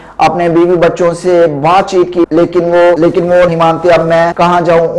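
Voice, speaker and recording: The speech comes in a monotone with flat intonation. Noticeable background noise is present. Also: man. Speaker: news presenter. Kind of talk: news report read.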